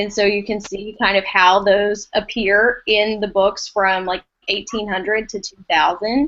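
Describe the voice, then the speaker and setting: Speaking at a fairly slow pace, a woman with an East Texas accent talks at a medium pitch. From East Texas, US. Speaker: educator, former language arts teacher. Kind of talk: casual podcast discussion.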